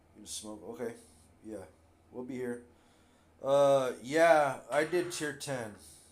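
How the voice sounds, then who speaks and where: Speaking at a very slow pace with long, frequent pauses, a man at medium pitch swings widely in loudness amid audible room echo. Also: ordinary pitch variation. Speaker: gaming streamer. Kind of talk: casual chat.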